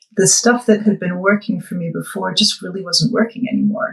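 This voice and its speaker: A woman with a Boston accent speaks at a medium pitch. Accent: Boston American. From US Northeast, Boston. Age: 50s. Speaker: weight-loss client. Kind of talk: interview testimony. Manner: hesitant, many fillers.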